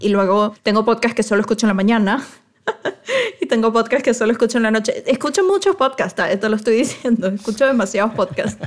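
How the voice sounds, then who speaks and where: A woman's fairly high-pitched voice, an ordinary speaking voice, with ordinary pitch variation, very even loudness and a fairly quick pace. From Venezuela. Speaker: wedding photographer and podcast co-host. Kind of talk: casual chat.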